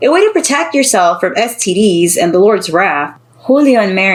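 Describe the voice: The plain reading aloud comes with lively intonation.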